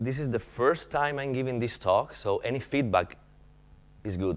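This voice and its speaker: We hear a male speaker. The rise and fall of his pitch is ordinary. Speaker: philosophy researcher. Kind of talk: conference talk. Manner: halting.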